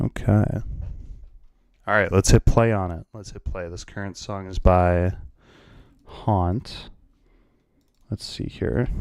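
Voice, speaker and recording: Very slow and calm, a man speaks in a very deep, low voice with ordinary pitch variation, big swings in loudness and long, frequent pauses, on a very clean recording with a silent background and a dry, close sound with no echo. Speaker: livestreamer and music composer. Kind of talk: casual live stream chat. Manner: hesitant, many fillers.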